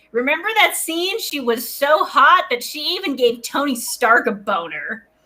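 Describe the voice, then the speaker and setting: Raising and projecting her voice, a woman swings very widely in pitch. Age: 20s. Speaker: stand-up comedian. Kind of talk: stand-up.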